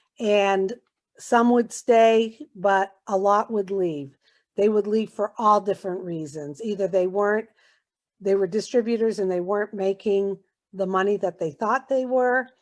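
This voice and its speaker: A woman with an American accent, a normal speaking voice at medium pitch, ordinary pitch variation and a fairly slow pace. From Massachusetts, US. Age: 60s. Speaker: network marketing distributor. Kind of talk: testimony.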